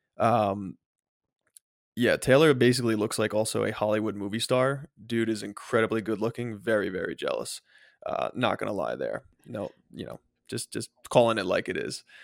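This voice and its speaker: In a dry, close recording with no echo, a man talks at a moderate pace with long, frequent pauses. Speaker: podcast co-host. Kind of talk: casual chat.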